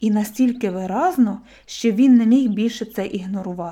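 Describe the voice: The reading aloud is plain, and its pitch shifts in an ordinary way.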